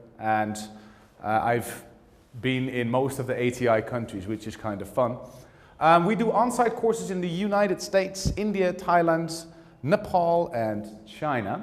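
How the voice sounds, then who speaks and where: Speaking with a Dutch accent at a moderate pace, a man makes very wide pitch swings. Room echo is audible. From Netherlands. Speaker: teacher trainer. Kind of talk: lecture.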